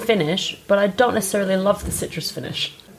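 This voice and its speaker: Noticeable background noise sits behind a woman talking at a fairly quick pace. Her pitch is medium with ordinary variation. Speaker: podcast host. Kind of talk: casual chat about wine.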